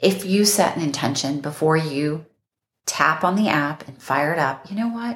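A woman speaks in a very deep, low pitch at a moderate pace. Her voice is somewhat breathy with lively intonation. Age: 40s. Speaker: relationship coach. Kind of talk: casual chat.

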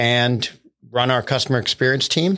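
An ordinary speaking voice from a man with an American accent, medium-pitched and fairly quick, in a very clean recording with a silent background. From US Northeast, central Pennsylvania. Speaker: tech executive and entrepreneur. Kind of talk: casual interview.

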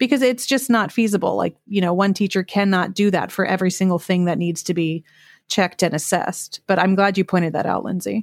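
An unremarkable speaking voice from a woman, at medium pitch and a fairly quick pace, shows ordinary pitch variation and very even loudness. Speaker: podcast host and teacher. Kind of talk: casual chat. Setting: video call.

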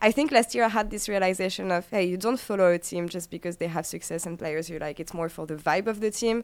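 At a very fast pace with hardly any pauses, a woman with a French accent speaks at a medium pitch with ordinary pitch variation. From France. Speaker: esports host. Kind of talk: casual chat.

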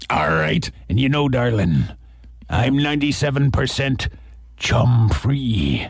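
Amid light background noise, a man does a raspy put-on character voice at medium pitch, moving at a very slow pace with long, frequent pauses. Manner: playful.

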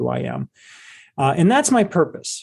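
A man with a Midwestern American accent. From Cleveland, Ohio. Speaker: investment advisor and author. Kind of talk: casual interview.

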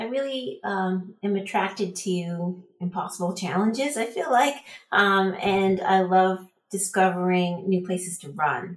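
A woman has an unremarkable speaking voice. She talks at a fairly slow pace with ordinary pitch variation. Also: medium pitch for a woman. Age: 50s. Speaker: trail runner. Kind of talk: interview.

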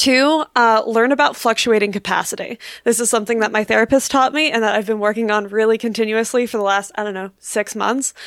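An ordinary speaking voice with an American accent moves at a fairly quick pace. Its intonation is fairly even, with hardly any pauses. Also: woman, fairly high pitch for a woman. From United States. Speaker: podcast co-host. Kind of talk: casual chat.

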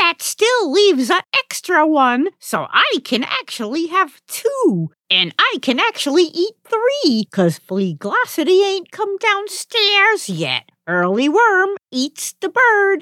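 A woman uses a put-on character voice, pitched extremely high and moving at a fairly slow pace. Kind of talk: comic overacting.

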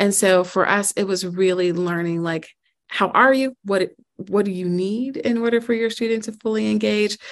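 A woman with an American accent and a medium pitch speaks at a moderate pace in a plain, everyday voice. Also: ordinary pitch variation. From US Midwest, Chicago. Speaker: school network president, former math teacher. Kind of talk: interview.

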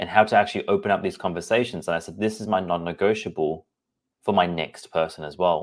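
A man speaks very fast with an Australian accent, his pitch very deep and low and his intonation fairly even. The recording is very clean, with a silent background. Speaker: podcast host and personal trainer. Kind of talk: solo podcast monologue.

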